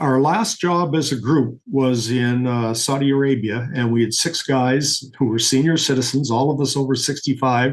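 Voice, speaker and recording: In an ordinary speaking voice, the speaker keeps a moderate pace with hardly any pauses, ordinary pitch variation and very even loudness. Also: man, medium pitch for a man. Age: 60s. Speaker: refrigeration system designer. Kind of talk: podcast interview.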